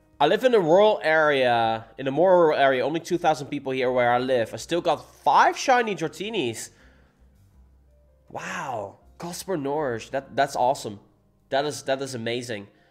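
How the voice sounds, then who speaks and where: Music in the background behind a man with a Dutch accent, animated in tone, with lively intonation at a moderate pace. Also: fairly high pitch for a man. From Netherlands. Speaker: gaming streamer. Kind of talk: livestream chat. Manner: casual, animated.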